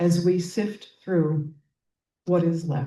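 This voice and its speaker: In a dark, mellow tone, a woman speaks very slowly with a fairly low pitch and a somewhat breathy quality. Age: 80s+. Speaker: poet. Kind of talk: poetry reading.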